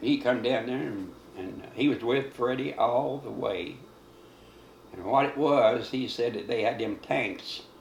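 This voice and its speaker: A man in a Kentucky accent at a fairly slow pace. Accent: Southern American, rural Kentucky. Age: 80s+. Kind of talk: interview answer. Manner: rambling, conversational.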